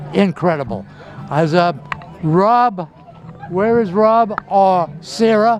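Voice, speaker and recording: Against noticeable background noise, a man with a high pitch talks at a very slow pace, with ordinary pitch variation and long, frequent pauses. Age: 80s+. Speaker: community TV host. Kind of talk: on-location interview. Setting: outdoors at a shipyard. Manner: animated.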